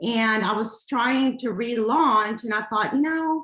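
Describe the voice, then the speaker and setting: Amid a quiet background with audible room echo, a woman speaks at a fairly high pitch with very wide pitch swings. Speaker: small business owner. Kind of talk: casual chat. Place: home room. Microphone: video call.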